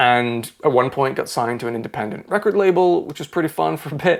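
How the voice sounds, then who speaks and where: With an American accent, a man talks at a fairly quick pace and a fairly high pitch. His intonation is lively, and noticeable background noise is audible. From mixed: Ireland, Scotland, US, England. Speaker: podcast host and music YouTuber. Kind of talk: scripted monologue introduction.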